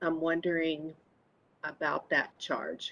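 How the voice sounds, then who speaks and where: Soft-spoken and fairly low in pitch, a woman talks at a fairly slow pace. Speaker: committee member. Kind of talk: public meeting discussion. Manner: halting.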